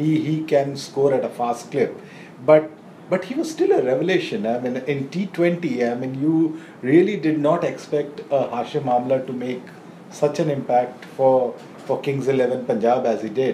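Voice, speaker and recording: A man at a moderate pace with fairly high pitch and ordinary pitch variation, noticeable background noise behind him. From India. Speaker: cricket journalist. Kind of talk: casual chat.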